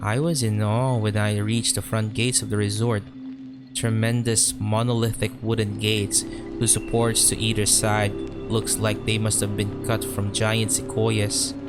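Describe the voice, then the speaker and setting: Music plays in the background as a man with medium pitch speaks fairly slowly at a very even loudness with ordinary pitch variation. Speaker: creepypasta narrator. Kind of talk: horror story narration.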